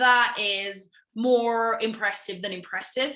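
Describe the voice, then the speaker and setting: A woman with a British accent, a bright, sharp tone and a fairly slow pace. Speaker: language academy founder and interviewer. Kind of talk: interview host.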